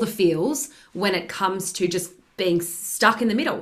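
In an ordinary speaking voice, a woman talks at medium pitch with lively intonation. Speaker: career and leadership coach, podcast host. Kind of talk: interview podcast conversation.

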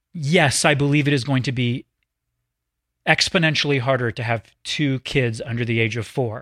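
A man with an American accent, medium pitch and ordinary pitch variation, at a moderate pace with long, frequent pauses, on a very clean recording with a silent background. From US South. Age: 40s. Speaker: actor. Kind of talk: casual chat.

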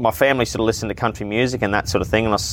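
Speaking with an Australian accent, a man uses a fairly low pitch with ordinary pitch variation. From Queensland, Australia (Townsville). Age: 20s. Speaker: refrigeration tradesman and rodeo announcer. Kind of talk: casual interview chat. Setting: outdoors on a veranda.

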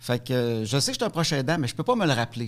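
A man with a plain, everyday voice, fairly high in pitch, with lively intonation over a very clean recording and a silent background. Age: 40s. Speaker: comedian and spousal caregiver. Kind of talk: testimony.

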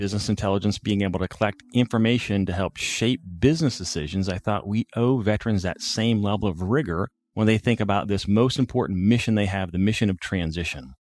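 In a quiet background with a dry, close sound and no echo, a man with an American accent talks at a fairly quick pace and fairly low pitch, with ordinary pitch variation and hardly any pauses. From Northwest Ohio, US Midwest. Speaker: military veteran, nonprofit founder. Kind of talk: interview.

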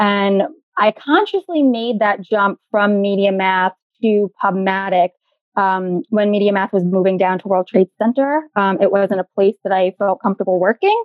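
With a New York accent, a woman speaks at a moderate pace. Her pitch is medium. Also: ordinary pitch variation. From New York, the Bronx. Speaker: digital advertising consultant. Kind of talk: interview.

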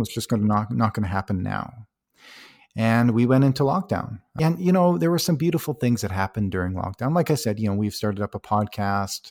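With a Canadian accent and medium pitch, a man talks at a fairly quick pace with lively intonation in a dry, close sound with no echo and a very clean recording with a silent background. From Canada, Alberta. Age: 40s. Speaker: ultramarathon runner. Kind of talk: interview. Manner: halting, with frequent repetitions.

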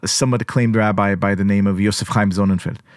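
Recorded very cleanly against a silent background, a man speaks with a slight Israeli accent. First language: Hebrew. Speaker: journalist and podcaster. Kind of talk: interview conversation.

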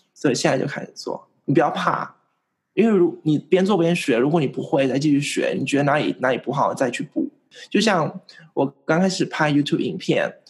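A man's unremarkable speaking voice, fairly high in pitch, at a fairly quick pace with ordinary pitch variation. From Vietnam. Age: 20s. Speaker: investing YouTuber. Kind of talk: interview.

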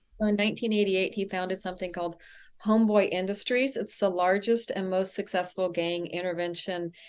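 A woman talks at a fairly quick pace with an American accent and a medium pitch. She has a plain, everyday voice with fairly even intonation. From US South, El Paso, Texas. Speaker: author and speaker. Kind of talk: casual interview.

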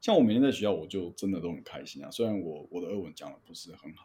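A man's fairly low, dark and mellow voice with a Taiwanese accent, very fast in pace, with very wide pitch swings and big swings in loudness. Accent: Taiwanese Mandarin. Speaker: flight instructor. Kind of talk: casual chat.

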